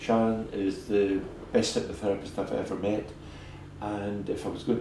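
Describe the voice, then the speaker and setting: A man at a fairly low pitch and moderate pace, somewhat breathy, with monotone, flat intonation and audible room echo. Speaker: dentist. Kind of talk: interview.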